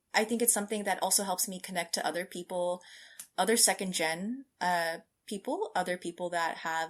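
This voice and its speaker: A woman with an American accent talks in a normal speaking voice, fairly low in pitch with ordinary pitch variation, at a fairly quick pace on a very clean recording with a silent background. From California, US. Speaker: scientist. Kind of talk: interview.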